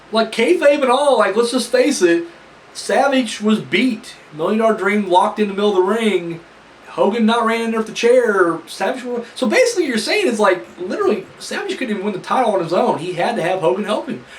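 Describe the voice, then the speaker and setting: A man's high pitch with lively intonation at a fairly quick pace, over noticeable background noise. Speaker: wrestling reviewer. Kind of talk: casual review talk to camera.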